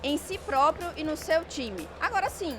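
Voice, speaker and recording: A woman's lively intonation carries over music in the background. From Salvador, Bahia, Brazil. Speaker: innovation manager. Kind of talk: interview. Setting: event radio interview.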